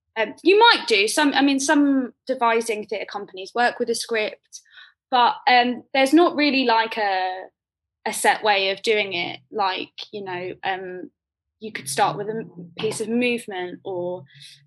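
A woman's fairly high voice in a London accent, with lively intonation and big swings in loudness. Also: fairly slow pace. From South London (Croydon). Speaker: poet and theatre maker. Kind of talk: casual interview conversation.

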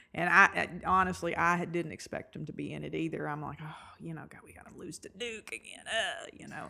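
An American-accented woman talks at a fairly quick pace with hardly any pauses and big swings in loudness. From Eastern Kentucky, US. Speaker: sports fan guest, host's mother. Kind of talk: casual chat. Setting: at home, recorded in guest's house.

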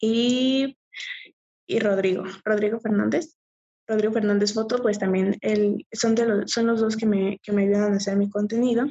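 Her voice is an unremarkable speaking voice, fairly high for a woman, with fairly even intonation at a fairly slow pace. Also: very even loudness. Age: 20s. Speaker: adult content creator and nursing student. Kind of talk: casual interview.

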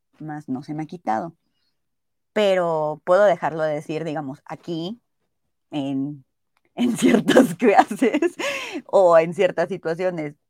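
A woman's dark, mellow tone at a fairly low pitch, at a very slow pace with long, frequent pauses, lively intonation and big swings in loudness, in a dry, close sound with no echo. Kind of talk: casual chat.

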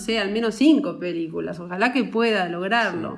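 Her pace moderate and her pitch variation ordinary, a woman speaks. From rural Uruguay. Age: 40s. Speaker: film producer. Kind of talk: casual chat. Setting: office, remote call.

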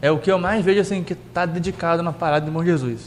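With a high pitch, a man speaks at a fairly quick pace using ordinary pitch variation. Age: young. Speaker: podcast host. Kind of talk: casual chat.

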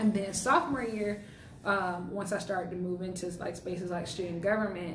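An American-accented woman talks fairly quickly at medium pitch with fairly even intonation. Noticeable background noise and audible room echo come through. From South Carolina, Columbia. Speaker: university student. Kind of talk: casual chat.

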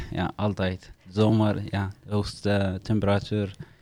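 A man with an Eritrean accent speaks at a very slow pace in a fairly low, dark, mellow voice with monotone, flat intonation. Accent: Eritrean-accented Dutch. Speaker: refugee living in the Netherlands. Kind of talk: casual interview, guided by a card game.

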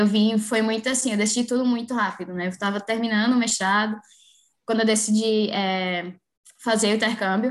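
An unremarkable speaking voice from a woman, fairly high in pitch, with fairly even intonation. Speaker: physical education professional. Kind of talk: casual interview.

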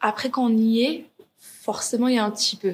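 Somewhat breathy, this woman's voice sits at a fairly high pitch. She is the only speaker described. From Paris suburbs, France. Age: 20s. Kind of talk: interview. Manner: halting, many hesitations.

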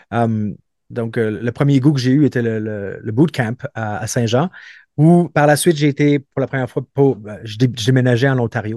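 A man talks at a fairly slow pace with medium pitch and ordinary pitch variation. The sound is dry and close with no echo, over a quiet background. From Montreal, Quebec. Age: 30s. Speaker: former special forces soldier and police officer. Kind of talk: interview. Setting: remote call. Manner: halting, many repetitions.

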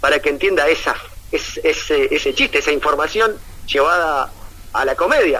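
At a moderate pace, a man speaks with a Uruguayan accent. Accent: Rioplatense Spanish (Uruguayan). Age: 40s. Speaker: comedian and comedy writer. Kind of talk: casual interview. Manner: halting, many fillers and repetitions.

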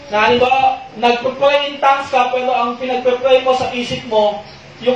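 Moderate pace over noticeable background noise. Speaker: preacher. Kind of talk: sermon. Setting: online live stream.

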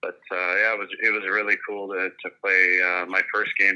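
In a Canadian Prairies accent, a man talks at a moderate pace, his fairly low voice held in a flat monotone. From Saskatchewan, Canada. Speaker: retired pro hockey player. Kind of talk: casual interview.

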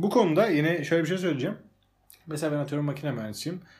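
A man's voice, fairly high in pitch. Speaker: podcast host. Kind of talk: casual chat. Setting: at home.

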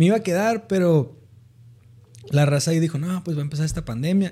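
This man has a dark, mellow tone and talks at a fairly quick pace. His speech is broken by long, frequent pauses. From Mexicali, Baja California, Mexico. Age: 20s. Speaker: economist. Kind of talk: casual chat.

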